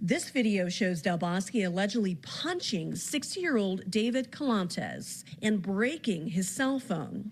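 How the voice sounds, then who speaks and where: In a normal speaking voice with lively intonation, the speaker goes at a fairly slow pace with hardly any pauses and very even loudness. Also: woman, medium pitch for a woman. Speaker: television news reporter. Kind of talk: television news reporting, live standups and taped packages. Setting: outdoors on location. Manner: clear, authoritative news delivery.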